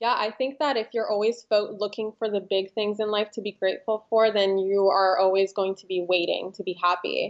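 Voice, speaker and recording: A woman speaks at medium pitch with fairly even intonation. She hardly pauses at all. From Los Angeles, US. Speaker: manifestation coach. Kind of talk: interview.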